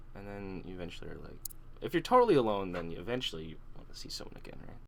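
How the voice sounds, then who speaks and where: A soft-spoken man talks at a very fast pace with a fairly low pitch and ordinary pitch variation. His loudness swings a lot. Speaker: podcast host. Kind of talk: casual chat. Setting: online voice call.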